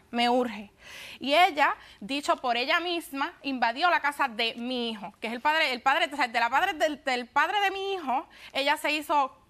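In a raised, projected voice with a bright, sharp tone, a woman speaks at a moderate pace with lively intonation. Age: 20s. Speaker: litigant on a TV court show. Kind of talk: courtroom testimony. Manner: halting. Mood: upset, insistent. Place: studio.

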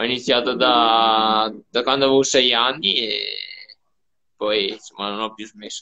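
A man with a bright, sharp tone, monotone, flat intonation, a fairly slow pace, long, frequent pauses and big swings in loudness against a quiet background. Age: 20s. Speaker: professional cyclist. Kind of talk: interview. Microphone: video call.

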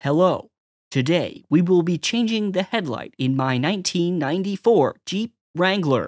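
A man puts on a high-pitched, robotic character voice. He speaks at a fairly slow pace.

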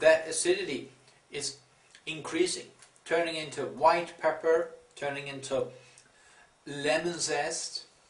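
Audible room echo surrounds a man who talks at a very slow pace. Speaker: chocolate reviewer. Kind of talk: casual review chat. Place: home room. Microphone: camera far.

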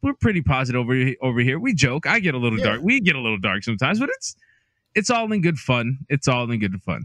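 Very fast speech in a bright, sharp tone swings very widely in pitch, the sound dry with no echo over a quiet background. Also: man. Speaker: podcast co-host. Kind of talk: casual podcast chat. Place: home room. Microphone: studio mic.

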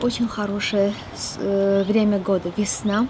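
Her intonation stays fairly even. Clear background noise can be heard behind the woman. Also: medium pitch for a woman, moderate pace.

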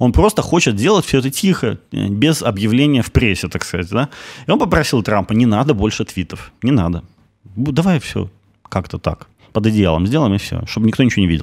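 A man's medium-pitched voice with very wide pitch swings, a fairly quick pace and a quiet background. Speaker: news commentary show host. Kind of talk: solo news commentary. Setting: studio. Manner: pessimistic-sounding. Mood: ironic, indignant. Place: studio. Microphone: studio mic.

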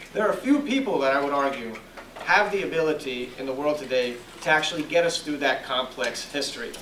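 Over light background noise and audible room echo, a man speaks at a very fast pace with ordinary pitch variation. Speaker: professor and moderator. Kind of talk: formal introduction. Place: classroom. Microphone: handheld.

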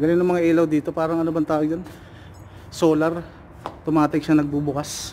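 With light background noise behind him, a man speaks at a very fast pace in a fairly high, monotone, flat voice broken by long, frequent pauses. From Philippines (Bicol). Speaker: overseas worker vlogger, driver in Saudi Arabia. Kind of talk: casual vlog. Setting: outdoors, garden. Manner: casual, laughs often. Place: garden. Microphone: phone near.

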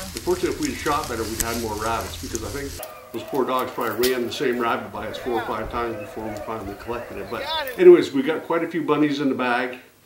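A man speaks at a very fast pace against noticeable background noise. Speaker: hunting show host. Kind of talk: cooking show intro chat. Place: kitchen.

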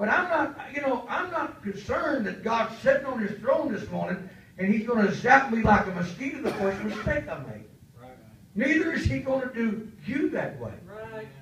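A man's animated, high-pitched voice with very wide pitch swings and big swings in loudness, plus audible room echo and light background noise. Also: moderate pace. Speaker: pastor; preacher. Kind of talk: sermon. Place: church.

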